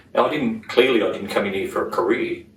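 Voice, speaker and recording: A man with an Australian accent is heard with audible room echo and noticeable background noise. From Sydney, Australia. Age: 60s. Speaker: politician. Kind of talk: interview. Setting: parliament house.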